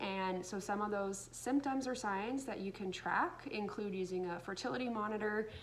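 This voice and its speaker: Over light background noise, a woman speaks with ordinary pitch variation. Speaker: educator. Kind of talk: explanatory talk to camera. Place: home room. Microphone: phone near.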